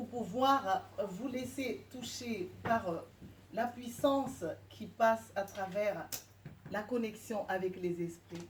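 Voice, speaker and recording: Over audible room echo, a woman with a fairly high, somewhat breathy voice speaks at a very slow pace. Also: ordinary pitch variation. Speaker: shamanic practitioner and speaker. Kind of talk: guided meditation; public lecture. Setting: lecture hall with live audience, no microphone. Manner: hesitant with frequent fillers. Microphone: speaking without microphone.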